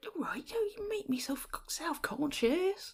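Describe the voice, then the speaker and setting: Using a put-on character voice, a woman speaks at an extremely high pitch and a fairly slow pace. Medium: actual play. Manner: affected, self-satisfied.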